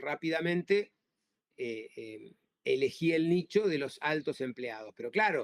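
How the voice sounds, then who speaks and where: A man with an Argentine accent at a fairly high pitch and a fairly slow pace, with lively intonation, big swings in loudness, and a dry, close sound with no echo. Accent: Argentine Spanish (Rioplatense). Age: 60s. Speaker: labor lawyer. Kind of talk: interview. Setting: podcast. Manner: halting, many repetitions and fillers.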